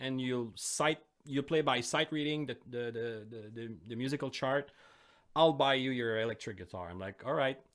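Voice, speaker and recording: A man with a French accent speaks at a medium pitch. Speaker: metal band guitarist. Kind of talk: casual chat. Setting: live-streamed podcast.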